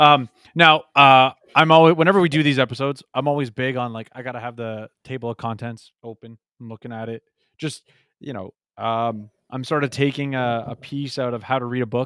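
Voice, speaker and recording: A man with a plain, everyday voice and medium pitch speaks at a fairly quick pace with fairly even intonation, big swings in loudness, and a dry, close sound with no echo. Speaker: podcast co-host. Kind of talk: casual discussion of a book.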